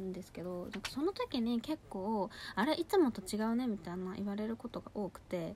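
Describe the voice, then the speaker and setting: With lively intonation, a woman talks in a dark, mellow tone. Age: 20s. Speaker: beauty podcaster. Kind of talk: casual monologue. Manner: animated.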